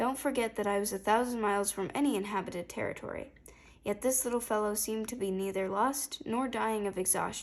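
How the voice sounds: The clip features a natural reading voice. The text is read aloud.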